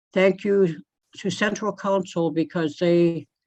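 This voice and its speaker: Music plays in the background as the speaker talks at a fairly slow pace in a flat, monotone way. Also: woman. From Southeast Alaska, Wrangell. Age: 80s+. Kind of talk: floor speech at assembly.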